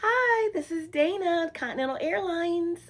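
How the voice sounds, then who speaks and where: A woman puts on a squeaky character voice at an extremely high pitch. She moves at a moderate pace with lively intonation. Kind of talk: bright customer service phone voice.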